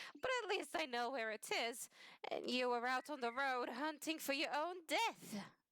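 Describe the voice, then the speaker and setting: A woman puts on a character voice, high-pitched and husky. She delivers it at a moderate pace. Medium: read story.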